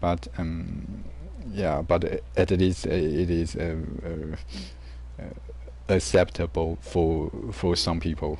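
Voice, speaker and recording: In a dark, mellow tone with vocal fry, the speaker talks at a very slow pace with a non-native accent, with audible room echo around the voice. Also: man. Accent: non-native English accent, self-described. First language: Mandarin. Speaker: gaming streamer. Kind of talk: casual chat. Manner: halting, many fillers and repetitions.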